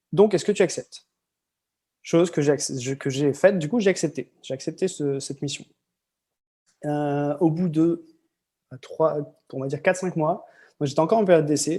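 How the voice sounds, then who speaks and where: Long, frequent pauses mark the speech of a man whose fairly high voice has a dark, mellow tone. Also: ordinary pitch variation, moderate pace, big swings in loudness. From northern France (Lille area). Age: 30s. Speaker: expatriate podcast guest. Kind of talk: interview storytelling. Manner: hesitant with many fillers.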